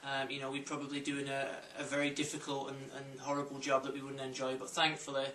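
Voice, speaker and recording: With noticeable background noise and audible room echo, a man in a Lancashire accent talks very fast at a fairly high pitch. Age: 20s. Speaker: football coach. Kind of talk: interview testimony.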